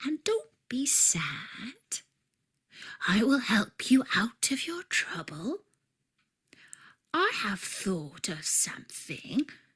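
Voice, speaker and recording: Whispering in a put-on character voice, a woman speaks at a very slow pace with long, frequent pauses. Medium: read story.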